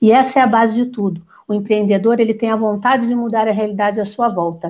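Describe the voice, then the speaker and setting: Fairly high in pitch, a woman speaks with a dark, mellow tone and ordinary pitch variation. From Rio de Janeiro, Brazil. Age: 50s. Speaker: psychologist and political candidate. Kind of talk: panel discussion.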